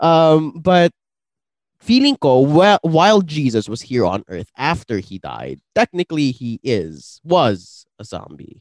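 A man talks at a very slow pace and fairly high pitch, with very wide pitch swings and big swings in loudness. The sound is dry and close with no echo. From Philippines. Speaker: podcast host. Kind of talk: casual podcast conversation.

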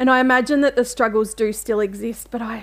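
Fairly quick speech in a woman's high register. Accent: Australian. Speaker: writer and mental health advocate. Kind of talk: interview.

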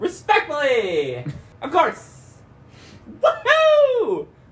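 A put-on character voice comes through at an extremely high pitch. It moves at a very slow pace. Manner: exaggerated, cheerful.

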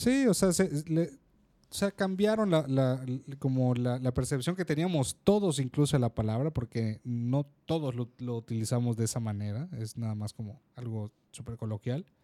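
A man's dark, mellow tone at a fairly slow pace, with lively intonation, hardly any pauses and a dry, close sound with no echo. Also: medium pitch for a man, big swings in loudness. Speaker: podcast co-host. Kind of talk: casual chat. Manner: loud.

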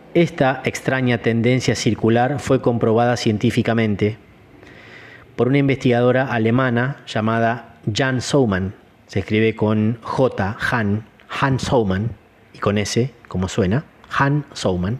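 A man's medium-pitched voice at a fairly slow pace, with fairly even intonation and very even loudness. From Argentina, Entre Ríos. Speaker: martial arts teacher and podcast host. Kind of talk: solo podcast talk. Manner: hesitant fillers.

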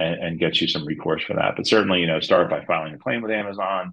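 With a New Jersey accent, a man speaks with ordinary pitch variation. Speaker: e-commerce lawyer. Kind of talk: interview.

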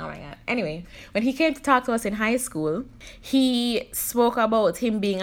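A woman with an ordinary speaking voice talks at a moderate pace with lively intonation. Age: 30s. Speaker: podcast host. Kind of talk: casual solo podcast monologue.

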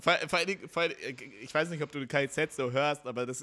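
A man's bright, sharp voice at a fairly slow pace, with ordinary pitch variation, on a very clean recording with a silent background. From North Rhine-Westphalia. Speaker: podcast host. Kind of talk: casual chat.

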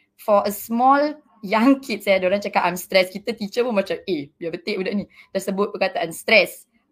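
An unremarkable speaking voice from a woman: medium pitch, moderate pace, ordinary pitch variation. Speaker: kindergarten principal. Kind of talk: panel discussion.

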